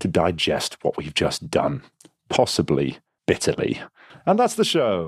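A man with an English accent speaks with vocal fry in a dry, close sound with no echo. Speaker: game master host. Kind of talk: comedic puzzle game narration. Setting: online call. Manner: playful.

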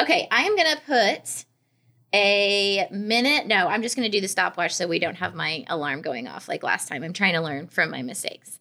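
With an American accent, a woman speaks at a moderate pace in a medium pitch, her tone bright and sharp, her voice showing vocal fry and very wide pitch swings. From Arkansas and Edmond, Oklahoma. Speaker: podcast co-host. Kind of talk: casual chat.

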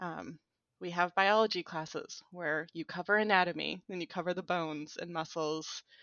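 The intonation here is fairly even. It is an ordinary speaking voice. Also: woman, fairly low pitch for a woman, moderate pace, big swings in loudness. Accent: American. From US, conservative small town. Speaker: sex education researcher. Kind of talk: casual interview chat.

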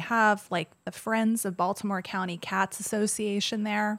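A woman with a General American accent speaks in a normal speaking voice at a medium pitch. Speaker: painter and podcast guest. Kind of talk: casual chat.

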